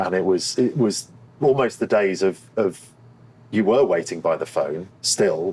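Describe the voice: Low in pitch with a slightly mellow tone and a slightly husky edge, a man speaks at a fairly slow pace with lively intonation.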